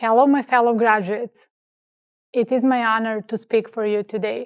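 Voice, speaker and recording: A woman with a non-native accent speaks at a moderate pace in a fairly high pitch. Her intonation stays monotone and flat, and the sound is dry and close with no echo. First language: not English. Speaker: graduate student speaker. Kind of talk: commencement speech.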